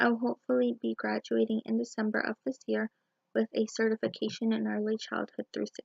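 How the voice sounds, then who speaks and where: A woman talks at a fairly quick pace with big swings in loudness. The sound is dry and close, with no echo. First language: Spanish. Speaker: student teacher. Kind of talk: personal video blog.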